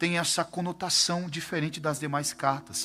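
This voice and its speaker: Music plays in the background as a man speaks. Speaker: pastor. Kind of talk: sermon. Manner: animated.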